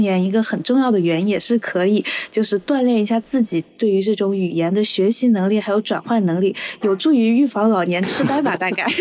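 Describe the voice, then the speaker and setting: Here is a woman with an ordinary speaking voice and a fairly high pitch. She talks at a fairly quick pace with lively intonation. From Guangdong, Zhuhai. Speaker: podcast host. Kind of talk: casual chat.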